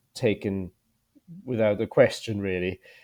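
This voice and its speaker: A man's fairly low, dark, mellow voice with a German accent in a very clean recording with a silent background. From Germany. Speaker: veterinarian and graduate recruitment manager. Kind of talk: interview.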